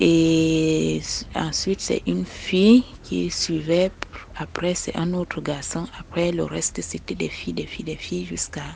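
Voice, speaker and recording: Noticeable background noise accompanies a woman who speaks very slowly. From eastern Cameroon, Maka people. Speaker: listener sharing a personal story. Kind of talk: personal testimony. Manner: halting, hesitant with fillers.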